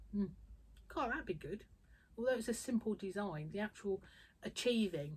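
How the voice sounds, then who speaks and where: Speaking at a moderate pace with long, frequent pauses, a woman with a medium pitch uses lively intonation. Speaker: quilter and small fabric business owner. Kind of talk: casual vlog chat. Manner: loud; animated.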